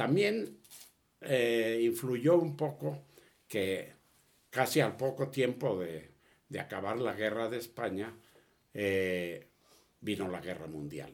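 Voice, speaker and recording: A man talks at a very slow pace, leaving long, frequent pauses. His pitch swings very widely. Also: medium pitch for a man. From Spain (Catalonia, near Barcelona). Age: 80s+. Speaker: refugee of the Spanish Civil War, elderly father. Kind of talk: personal testimony in an interview. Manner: halting with repetitions.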